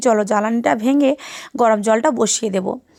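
The recording is very clean, its background silent. A woman's voice sounds dry and close, without any echo. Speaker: vlogger. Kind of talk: casual vlog narration.

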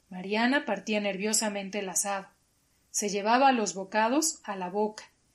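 A quiet background and an unforced reading voice

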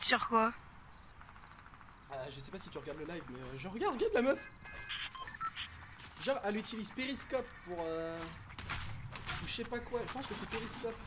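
Loud background noise surrounds a man speaking at a fairly quick pace. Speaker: gaming streamer. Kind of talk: casual gaming chat. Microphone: studio mic.

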